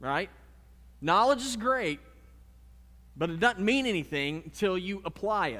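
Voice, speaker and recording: The voice is raised and projected, with a bright, sharp tone, very wide pitch swings, a fairly slow pace, and long, frequent pauses. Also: man, high pitch for a man. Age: 30s. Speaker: pastor. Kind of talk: sermon. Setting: church.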